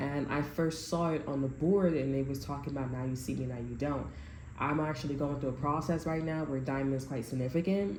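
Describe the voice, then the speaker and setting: The woman's voice is very deep and low, with fairly even intonation. Audible room echo surrounds it. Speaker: tarot reader. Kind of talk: tarot reading to camera. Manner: halting, many restarts.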